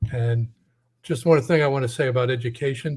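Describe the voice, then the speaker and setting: The voice is a man's, at medium pitch. He speaks at a moderate pace and sounds somewhat breathy. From Connecticut, US Northeast. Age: 60s. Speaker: caller, former college teacher. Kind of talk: call-in conversation.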